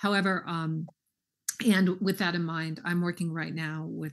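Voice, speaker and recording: Intonation stays fairly even as this woman talks. Her pace is fairly slow. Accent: American. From Southern California. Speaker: school superintendent. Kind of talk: public meeting discussion. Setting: video call.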